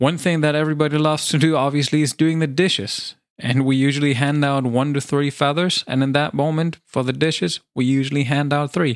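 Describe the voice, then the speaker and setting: With a German accent, a man talks at a fairly quick pace, with fairly high pitch and fairly even intonation. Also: very even loudness. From Germany. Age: 30s. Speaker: kindergarten teacher and podcast host. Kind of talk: solo podcast monologue and storytelling.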